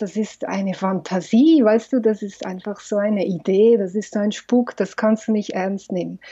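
A woman speaks at a fairly high pitch in a dark, mellow tone. Her intonation is fairly even. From Switzerland, Valais. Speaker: film director and psychologist. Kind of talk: interview.

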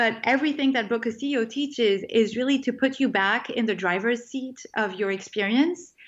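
A woman with a French accent and a high pitch, at a fairly quick pace with hardly any pauses and ordinary pitch variation. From France. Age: 30s. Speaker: food writer and life coach. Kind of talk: interview conversation.

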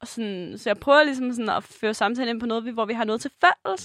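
A woman's high voice at a fairly quick pace, with ordinary pitch variation and a dry, close sound with no echo. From Jutland, Denmark. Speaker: podcast co-host. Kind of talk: casual chat.

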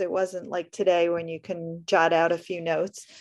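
Against a quiet background, a woman with a New York accent speaks at a medium pitch and a moderate pace, with fairly even intonation. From US Northeast, Brooklyn. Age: 50s. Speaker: writer and blogger. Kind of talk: reading aloud; casual interview.

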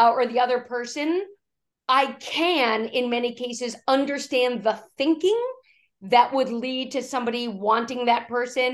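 Her high voice carries fairly even intonation as the woman talks at a moderate pace. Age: 50s. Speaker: executive coach and keynote speaker. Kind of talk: interview conversation.

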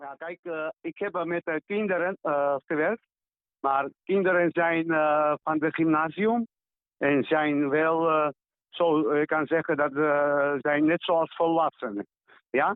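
Speaking at a very slow pace, a man uses a fairly high pitch and fairly even intonation. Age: 60s. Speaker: visual artist. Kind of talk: interview. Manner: halting.

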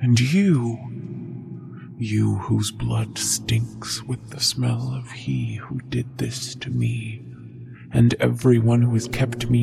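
Growling in a put-on character voice, a man speaks at a very slow pace. Clear background noise runs beneath him. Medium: read story. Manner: bitter, menacing, growling.

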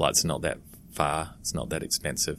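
This man has a New Zealand accent. He speaks at a fairly quick pace. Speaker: education company founder. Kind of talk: interview.

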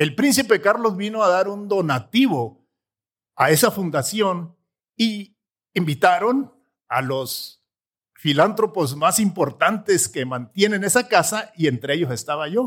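On a very clean recording with a silent background, a man speaks at a high pitch. His pitch swings are very wide and his pace fairly slow. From Mexico, Sierra de Chihuahua. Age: 60s. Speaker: entrepreneur and motivational speaker. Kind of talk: interview testimony.

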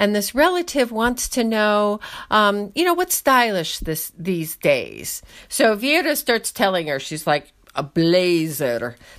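Speaking at a very slow pace in a New York accent, a woman with a medium pitch moves through very wide pitch swings on a very clean recording with a silent background. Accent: American (New York). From upstate New York. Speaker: Russian film enthusiast, Russian speaker. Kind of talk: casual chat.

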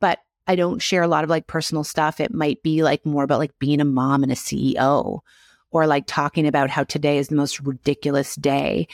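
A woman's very deep, low voice with ordinary pitch variation and very even loudness, dry and close with no echo, on a very clean recording with a silent background. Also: fairly quick pace. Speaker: retired dietitian and business educator. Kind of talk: interview. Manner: fast; animated.

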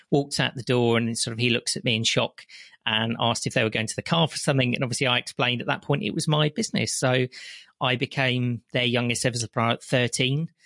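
Over a quiet background, a man with a West Midlands accent speaks at a medium pitch in a bright, sharp tone with fairly even intonation, in a dry, close sound with no echo. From West Midlands, England. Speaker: chocolate entrepreneur and business consultant. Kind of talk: interview conversation.

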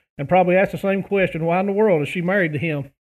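This man has a high pitch, fairly even intonation, and an Appalachian accent. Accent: Appalachian American. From West Virginia. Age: 30s. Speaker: pastor and hunting YouTuber. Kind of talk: casual interview chat. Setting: phone call.

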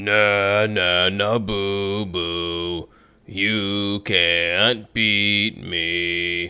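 A booming, put-on character voice from a man, fairly low in pitch, at a very slow pace. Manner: taunting, teasing.

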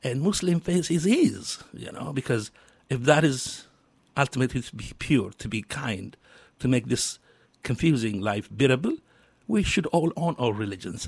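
A man with an Ethiopian accent, medium pitch, somewhat breathy, lively intonation, moderate pace and big swings in loudness. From Ethiopia, Addis Ababa. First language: Amharic. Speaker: social entrepreneur and community leader. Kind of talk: radio interview. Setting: radio studio. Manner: halting.

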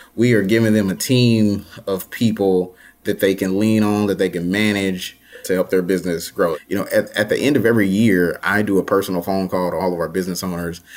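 With an American accent and a plain, everyday voice, the speaker moves at a fairly quick pace using fairly even intonation. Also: man, fairly low pitch for a man. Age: 30s. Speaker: nonprofit founder and CEO. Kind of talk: interview.

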